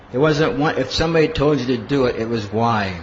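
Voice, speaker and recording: A man with an American accent at a moderate pace, ordinary pitch variation, audible room echo and noticeable background noise. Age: 50s. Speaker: monk and spiritual teacher. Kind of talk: lecture.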